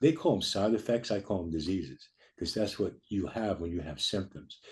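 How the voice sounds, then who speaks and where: A man's somewhat breathy voice, dark and mellow in tone, at a fairly quick pace. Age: 70s. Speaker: chiropractor. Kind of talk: interview. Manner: halting.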